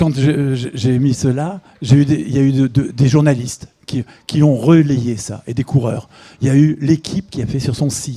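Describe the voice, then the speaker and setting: A man's somewhat breathy, fairly high-pitched voice, dark and mellow in tone, at a moderate pace with fairly even intonation. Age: 60s. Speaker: author and amateur runner. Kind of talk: interview. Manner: halting, with repetitions and hesitations.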